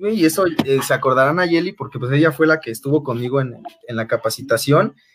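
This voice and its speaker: Fairly high-pitched, a man with a Mexican accent talks at a fairly quick pace with lively intonation. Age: 30s. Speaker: former coworker. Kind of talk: casual chat. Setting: video call from home.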